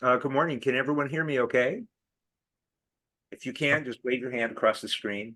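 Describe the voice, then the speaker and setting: At a fairly quick pace, a man with an American accent speaks at medium pitch in a bright, sharp tone with fairly even intonation, long, frequent pauses and big swings in loudness. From California. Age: 60s. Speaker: political activist and advocacy trainer. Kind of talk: talk to an online group.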